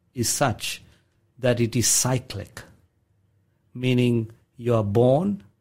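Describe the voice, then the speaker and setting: Very slowly, a man speaks in a somewhat breathy voice at medium pitch. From South Africa, Indian heritage. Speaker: pastor and songwriter. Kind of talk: radio interview. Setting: radio studio.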